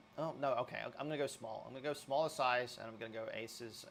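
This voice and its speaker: At a very fast pace, a man speaks. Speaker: poker coach. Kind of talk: tutorial.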